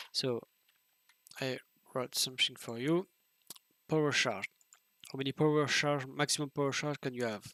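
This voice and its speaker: The speaker has a non-native accent and a bright, sharp tone, with long, frequent pauses, in a dry, close sound with no echo. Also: man, fairly high pitch for a man, moderate pace. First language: French. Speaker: video game streamer. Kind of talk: tutorial. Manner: halting.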